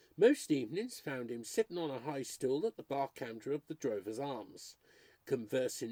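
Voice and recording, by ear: The passage is read aloud in a natural voice.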